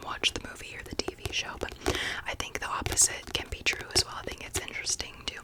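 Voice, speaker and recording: A woman whispering at a very fast pace amid noticeable background noise. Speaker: ASMR creator. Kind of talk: ASMR book haul talk. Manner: whispered.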